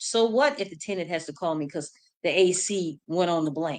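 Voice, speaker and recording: A woman with an unremarkable speaking voice, a fairly low pitch and a fairly quick pace. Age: 50s. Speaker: mobile home investor. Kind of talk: interview. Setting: livestream.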